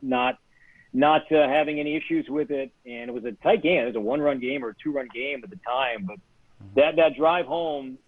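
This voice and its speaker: A man with a plain, everyday voice talks fairly quickly at a fairly high pitch. His loudness swings a lot, while his pitch varies in an ordinary way. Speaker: radio play-by-play announcer for a baseball team. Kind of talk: casual interview answer, storytelling. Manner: conversational, reflective.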